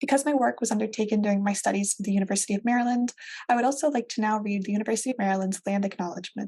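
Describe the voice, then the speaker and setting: The voice is dark, mellow and somewhat breathy. It moves at a very fast pace with fairly even intonation. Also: woman, fairly high pitch for a woman. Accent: American. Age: 20s. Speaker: librarian presenter. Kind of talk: recorded presentation. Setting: video call with virtual background.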